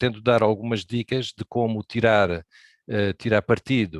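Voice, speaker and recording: Against a quiet background, a man at medium pitch talks with fairly even intonation. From Brazil. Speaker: amateur radio operator, presenter. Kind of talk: presentation talk.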